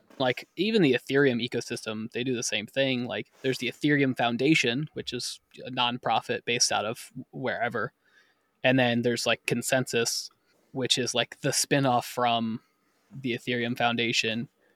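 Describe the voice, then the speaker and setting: A man's plain, everyday voice at medium pitch and a moderate pace, dry and close with no echo. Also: fairly even intonation, very clean recording, silent background. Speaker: podcast host and editor. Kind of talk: casual chat.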